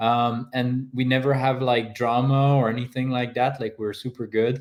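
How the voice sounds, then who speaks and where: A man speaks at a medium pitch and a moderate pace. His intonation is monotone and flat. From French Canada. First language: French. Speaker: paraglider athlete. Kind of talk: interview.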